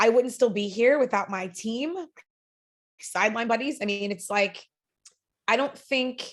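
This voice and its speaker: At a moderate pace, a woman with a fairly high pitch talks in a fairly even intonation. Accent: American. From Long Island, New York. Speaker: network marketing director. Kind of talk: podcast interview.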